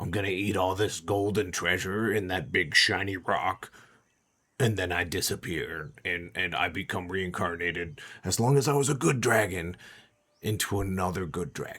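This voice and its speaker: Very deep, low-pitched, raspy male put-on character voice at a moderate pace, on a very clean recording with a silent background. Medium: actual play. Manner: whiny, rambling.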